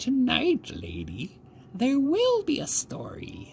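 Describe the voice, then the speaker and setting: This is a put-on character voice over light background noise. The pace is very slow. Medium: read story. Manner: terse, grave.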